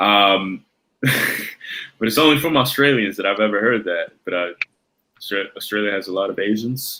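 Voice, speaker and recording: Bright and sharp in tone, a man speaks at a moderate pace in a medium pitch with ordinary pitch variation. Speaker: podcast co-host. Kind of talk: casual chat.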